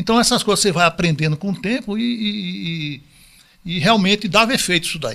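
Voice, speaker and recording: A man speaks in a high, raised and projected voice with a bright, sharp tone and lively intonation. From Northeast Brazil, João Pessoa. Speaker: retired math teacher and school owner. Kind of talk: casual interview.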